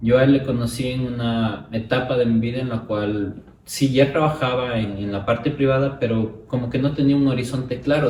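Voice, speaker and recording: The speech comes at a fairly quick pace with hardly any pauses and ordinary pitch variation. Noticeable background noise and audible room echo are present. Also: man. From Ecuador, Ibarra. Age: 30s. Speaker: academic and college rector. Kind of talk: interview conversation.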